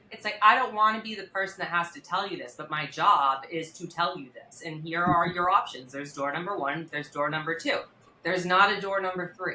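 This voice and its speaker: Over noticeable background noise, a woman with a fairly low voice talks at a fairly quick pace, with ordinary pitch variation and big swings in loudness. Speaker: criminal defense attorney. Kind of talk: podcast interview. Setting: studio. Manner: naturally loud; fast.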